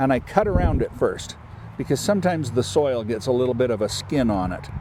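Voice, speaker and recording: A man's medium-pitched voice at a fairly quick pace, with very wide pitch swings and noticeable background noise. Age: 60s. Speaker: farmer. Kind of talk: tutorial.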